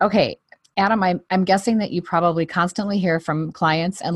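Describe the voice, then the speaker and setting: Against a quiet background, a woman with a fairly low voice speaks at a moderate pace, the sound dry and close with no echo. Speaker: podcast host. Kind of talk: casual interview. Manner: animated.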